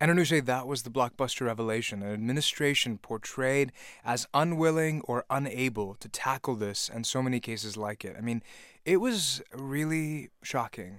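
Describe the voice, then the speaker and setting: Using an unremarkable speaking voice, this man keeps a moderate pace, and his medium pitch has ordinary pitch variation. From Virginia, US (born in Pakistan). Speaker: podcast host. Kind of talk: casual chat.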